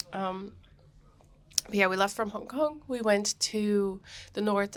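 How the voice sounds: A woman at medium pitch with a fairly bright tone and moderate pace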